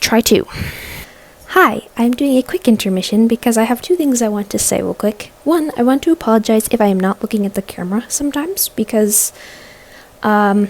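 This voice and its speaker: Fairly quick and fairly high, a woman's voice moves with ordinary pitch variation. Background noise is noticeable. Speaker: crafting vlogger. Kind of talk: tutorial vlog. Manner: fast; casual.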